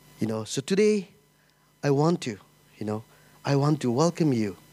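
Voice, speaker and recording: Speaking at a fairly quick pace, a man has a fairly high pitch. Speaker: church planter and pastor. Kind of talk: sermon. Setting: church stage with audience.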